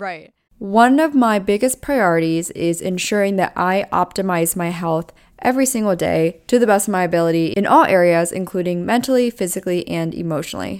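In a very clean recording with a silent background, a woman with an American accent and a normal speaking voice talks at a fairly quick pace at a medium pitch with ordinary pitch variation. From Pennsylvania. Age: 20s. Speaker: podcast host. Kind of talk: casual interview chat. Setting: studio.

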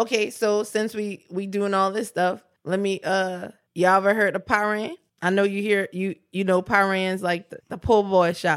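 A woman's medium-pitched voice with a New Orleans accent, monotone and flat, at a moderate pace, on a very clean recording with a silent background. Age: 20s. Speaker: podcast co-host. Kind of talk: casual chat.

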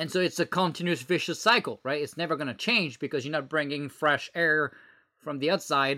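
In a French accent, a man talks at a fairly quick pace with a fairly high pitch, ordinary pitch variation and a bright, sharp tone on a very clean recording with a silent background. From France. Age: 30s. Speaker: former government software executive and entrepreneur. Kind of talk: podcast interview. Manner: halting, many filler words.

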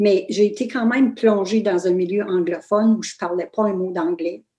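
A woman's medium-pitched voice with a dark, mellow tone, ordinary pitch variation and a moderate pace. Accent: Ontario French. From northern Ontario, Canada (Fauquier, Kapuskasing). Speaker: author. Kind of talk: interview. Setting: video call.

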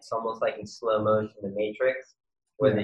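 Here a man speaks with an American accent. His intonation is monotone and flat. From New York City (Queens). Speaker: yoga instructor and skateboarder. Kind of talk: casual interview.

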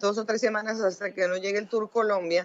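A woman speaks at a medium pitch. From Mexico. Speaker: sports journalist and commentator. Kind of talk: interview. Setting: phone call. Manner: halting.

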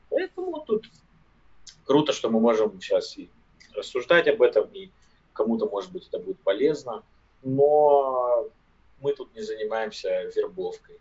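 Male speech at a moderate speed, full of long, frequent pauses and big shifts in loudness. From Siberia, village near Irkutsk. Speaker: podcast co-host. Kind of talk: casual chat.

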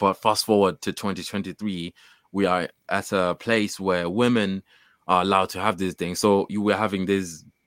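Recorded very cleanly against a silent background, a man's fairly low voice comes through dry and close with no echo. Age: 30s. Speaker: stress coach. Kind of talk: casual interview.

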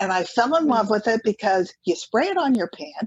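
Somewhat breathy, a woman with a fairly high pitch makes very wide pitch swings. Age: 70s. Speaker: author and health advocate. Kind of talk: interview.

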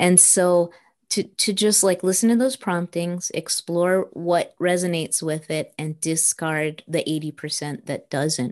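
A plain, everyday voice from a woman with an American accent, fairly low in pitch, with ordinary pitch variation and a quiet background. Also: fairly slow pace. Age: 50s. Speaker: author and translator. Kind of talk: interview conversation.

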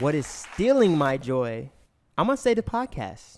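Crowd noise fills the background. A man speaks at a moderate pace with ordinary pitch variation. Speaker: music artist and podcast host. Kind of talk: casual chat.

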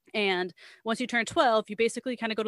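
A woman with an ordinary speaking voice and fairly high pitch shows ordinary pitch variation. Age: 30s. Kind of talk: casual chat.

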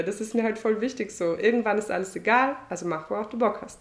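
In an unremarkable speaking voice, a woman talks at medium pitch, her pitch varying in an ordinary way. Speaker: singer. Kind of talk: casual chat. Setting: at host's home on couch.

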